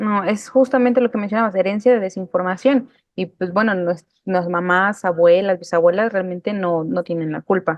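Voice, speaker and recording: An ordinary speaking voice at a moderate pace. Its pitch varies in an ordinary way. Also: woman, medium pitch for a woman. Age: 20s. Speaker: interviewer. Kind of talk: interview conversation.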